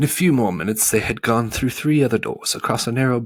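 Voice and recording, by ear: The speaker's pitch varies in an ordinary way while reading aloud in a natural voice.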